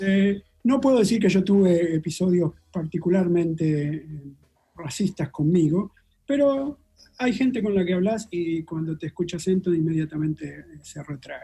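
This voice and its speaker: A man with a Rioplatense accent speaks at a high pitch in a dark, mellow tone. His intonation is lively, his pace moderate, and his loudness swings a lot. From Argentina. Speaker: molecular biologist. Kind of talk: interview.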